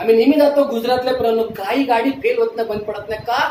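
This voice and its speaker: A man talks over noticeable background noise. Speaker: pastor, preacher. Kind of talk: sermon, preaching to a congregation.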